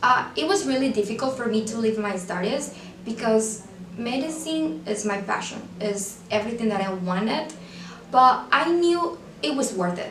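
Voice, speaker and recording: In a Venezuelan accent, a woman speaks with lively intonation and a fairly high pitch, amid noticeable background noise and audible room echo. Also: moderate pace. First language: Spanish. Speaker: student portraying future pediatric surgeon. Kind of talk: scripted video monologue.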